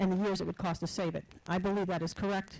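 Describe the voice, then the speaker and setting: Speaking very fast, a woman keeps a medium pitch and a monotone, flat intonation. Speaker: resident speaking at public comment. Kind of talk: public comment at council meeting.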